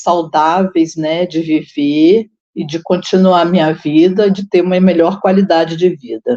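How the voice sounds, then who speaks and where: Fairly low in pitch, a woman speaks at a very slow pace with fairly even intonation and a dark, mellow tone. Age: 60s. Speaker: retiree and senior university student. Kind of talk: online panel discussion.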